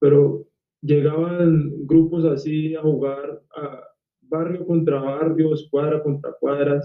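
The man's fairly high voice holds a monotone, flat intonation. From Cali, Colombia. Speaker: actor. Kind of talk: casual interview.

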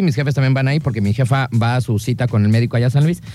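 A man talks at a very fast pace in an animated tone, his pitch medium with ordinary variation. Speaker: radio show co-host. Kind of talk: casual chat.

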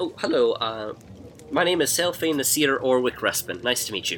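A man's put-on character voice, fairly high in pitch, at a moderate pace with clear background noise. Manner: polite, friendly greeting.

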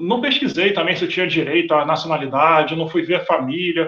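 This man speaks with a Rio de Janeiro accent. His pitch is high. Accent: Carioca Brazilian Portuguese. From Rio de Janeiro, Brazil. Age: 30s. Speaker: Brazilian immigrant in Portugal. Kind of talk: casual chat.

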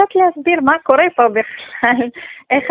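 Noticeable background noise sits behind this woman's voice. She speaks with a Russian accent at a fairly slow pace. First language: Russian (speaking Hebrew). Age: 30s. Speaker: community member, new immigrant. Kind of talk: interview. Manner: halting.

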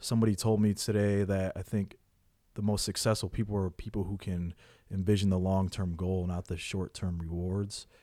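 A man's fairly low voice, a plain, everyday voice, with fairly even intonation on a very clean recording with a silent background. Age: 30s. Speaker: person in addiction recovery. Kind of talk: interview.

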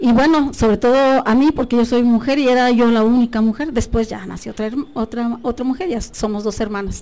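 A woman talks at a moderate rate in a high voice with normal pitch movement, while noticeable noise runs underneath. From Mexico, Guerrero mountain region (Tlapa de Comonfort). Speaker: biology professor. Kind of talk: radio interview.

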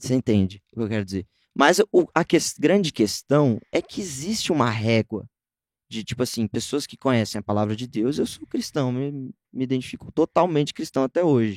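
A man's ordinary speaking voice at medium pitch, moderate pace and lively intonation, in dry, close sound with no echo. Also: very clean recording, silent background. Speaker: musician and music producer. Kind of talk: casual interview chat.

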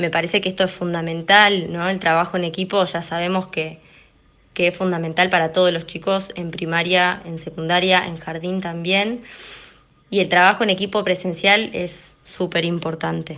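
A woman talks at a fairly low pitch and a moderate pace, her intonation monotone and flat. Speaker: primary school teacher. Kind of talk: testimony. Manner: halting, repeats words.

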